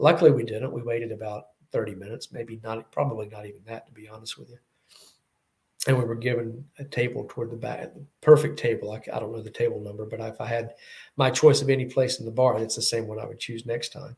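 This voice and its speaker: A man talks at a very fast pace, somewhat breathy, with fairly even intonation. His loudness swings widely. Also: medium pitch for a man. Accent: Southern US. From US South. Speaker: Bond fan YouTuber. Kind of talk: casual chat.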